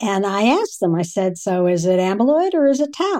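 Lively intonation from a woman with a dark, mellow tone, medium pitch, and moderate pace. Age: 60s. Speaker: geriatric neurologist. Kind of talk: interview conversation.

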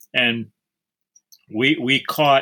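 The man's tone is bright and sharp. His pitch rises and falls in an ordinary way. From Houston, Texas. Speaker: novelist and psychologist. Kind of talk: interview. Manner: halting, with many repeated words.

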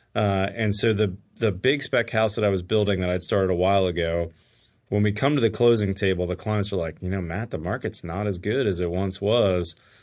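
A man speaks fairly quickly in a plain, everyday voice with an American accent, fairly low in pitch and fairly even in intonation. The recording is very clean, with a silent background. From Pittsburgh, Pennsylvania. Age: 50s. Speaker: home builder and construction YouTuber. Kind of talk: casual interview. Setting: home studio.

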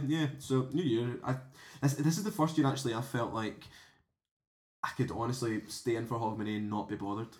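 This man has a Glasgow accent and a medium pitch. He talks at a fairly quick pace with ordinary pitch variation. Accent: Scottish (Glasgow). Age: 20s. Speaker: podcast co-host. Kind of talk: casual chat. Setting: home kitchen.

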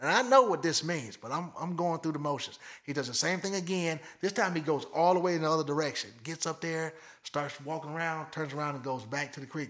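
Speaking in an American accent with an ordinary speaking voice, a man talks at a fairly quick pace with a fairly high pitch and ordinary pitch variation. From Michigan. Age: 50s. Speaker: blood tracking dog handler. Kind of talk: casual interview.

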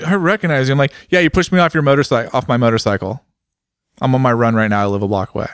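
Talking very fast with lively intonation, a man speaks with a West Coast accent. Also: medium pitch for a man, dry, close sound with no echo, very clean recording, silent background. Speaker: motorcycle podcast host. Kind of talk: casual chat.

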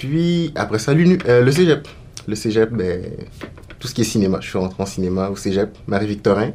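A man's fairly low voice with very wide pitch swings, at a moderate pace, amid noticeable background noise. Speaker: actor and multidisciplinary artist. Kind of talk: casual interview.

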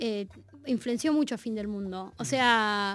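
In a very clean recording against a silent background, a woman is talking. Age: 30s. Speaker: musician. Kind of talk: casual chat.

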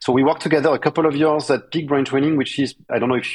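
This is a man speaking with a French accent. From France. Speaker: startup co-founder and COO. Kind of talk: interview answers.

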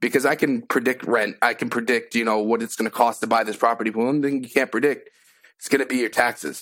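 Speaking at a very fast pace, a man with an American accent keeps a medium pitch and fairly even intonation. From Massachusetts. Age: 20s. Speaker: new real estate investor. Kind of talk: live coaching call.

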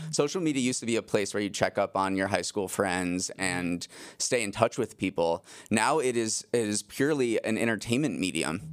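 Against a silent background on a very clean recording, a man with an American accent and an unremarkable speaking voice talks at a fairly quick pace with a fairly low pitch and lively intonation. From Massachusetts, US. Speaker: news podcast host and managing editor. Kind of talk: casual news talk.

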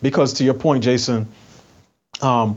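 At a moderate pace and medium pitch, a man talks in a plain, everyday voice. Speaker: commentator. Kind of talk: casual chat.

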